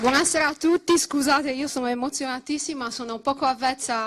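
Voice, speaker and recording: A woman's high-pitched voice at a fairly quick pace, with noticeable background noise. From Sardinia. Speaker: political activist. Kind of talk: political rally speech. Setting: stage with audience.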